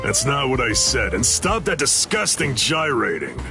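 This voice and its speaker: A cartoonish character voice is heard. Loud music plays in the background. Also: man, moderate pace. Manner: drawling, casual.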